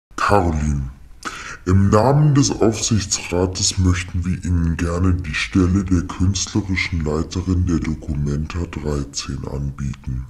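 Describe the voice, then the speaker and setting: Over light background noise, a man with a very deep, low voice talks at a fairly slow pace. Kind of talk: formal official German speech. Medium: comedy sketch. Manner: polite, businesslike, matter-of-fact about no payment.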